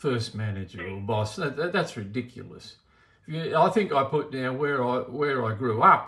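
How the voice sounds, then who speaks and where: Lively intonation from a man at a moderate pace, his pitch medium. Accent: Australian. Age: 60s. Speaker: bank customer. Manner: agitated, repeats himself.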